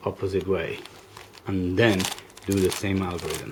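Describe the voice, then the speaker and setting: This man's voice sits fairly low and moves at a moderate pace. Noticeable background noise runs underneath. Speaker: puzzle hobbyist YouTuber. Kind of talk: tutorial. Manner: hesitant, many fillers.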